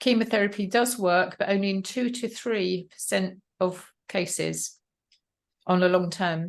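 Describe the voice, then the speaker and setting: Against a quiet background, the speaker talks in an English accent at a fairly slow pace with fairly even intonation. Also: woman, medium pitch for a woman. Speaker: health mentor. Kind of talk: interview.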